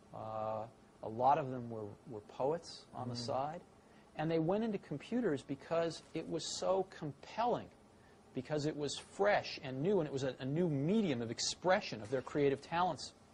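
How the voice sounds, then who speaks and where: A somewhat breathy man speaks with lively intonation. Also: fairly high pitch for a man, moderate pace. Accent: American. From San Francisco, California. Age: 40s. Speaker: tech entrepreneur. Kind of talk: interview answer.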